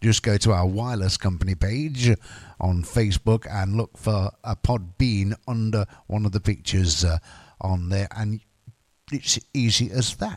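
Relaxed in tone and in a British accent, a voice moves at a fairly slow pace with ordinary pitch variation, on a very clean recording with a silent background and a dry, close sound with no echo. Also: man, fairly low pitch for a man. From UK. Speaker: radio DJ. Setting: radio studio. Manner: relaxed, rambling, frequent uh and um fillers; jokey and giggly, laughs at his own quirky news asides.

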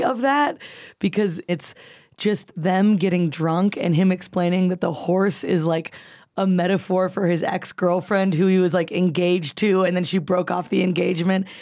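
Heard on a very clean recording with a silent background, a woman with an American accent has an unremarkable speaking voice, a medium pitch, ordinary pitch variation and a moderate pace. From US. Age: 20s. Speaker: comedian. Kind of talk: casual chat.

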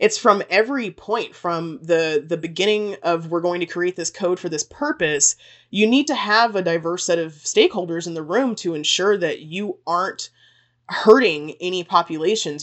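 With a normal speaking voice, a woman talks at a moderate pace and fairly low pitch, with ordinary pitch variation. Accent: American. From Texas. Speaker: PhD student researcher. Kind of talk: interview.

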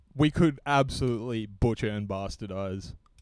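What we hear is an unforced reading voice.

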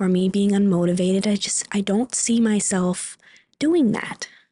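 The speaker has a somewhat breathy voice with a dark, mellow tone, fairly even intonation and a fairly slow pace. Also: woman. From Superior, Wisconsin, US Upper Midwest. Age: 20s. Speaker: manufacturing worker. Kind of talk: interview.

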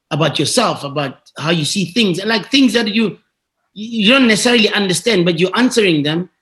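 Here a man speaks at a high pitch with a bright, sharp tone. His intonation is lively, and his pace is fairly quick. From South Africa, Tembisa township (Gauteng). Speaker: quantity surveyor and entrepreneur. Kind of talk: interview. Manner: halting with frequent repetitions.

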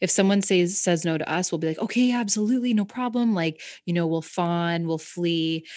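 Talking at a fairly quick pace, a woman with a Canadian accent has a fairly low pitch, ordinary pitch variation, and a plain, everyday voice. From Canada, rural Southern Ontario. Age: 30s. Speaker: mental health advocate and actress. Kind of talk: casual chat. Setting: video call.

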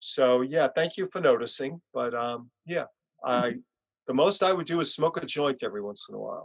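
A man with a New York accent speaks at a moderate pace and a fairly high pitch, with ordinary pitch variation. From US Northeast, Long Island, New York. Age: 60s. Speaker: punk musician. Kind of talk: interview. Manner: soft-spoken.

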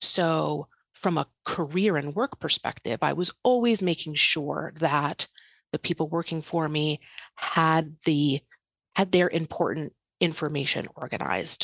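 A woman with a New York accent talks at a fairly slow pace in a very deep, low voice, the sound dry and close with no echo and a quiet background. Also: ordinary pitch variation. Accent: New York area American. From New York area, US. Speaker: estate planning and digital organisation advisor. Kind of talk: podcast interview.

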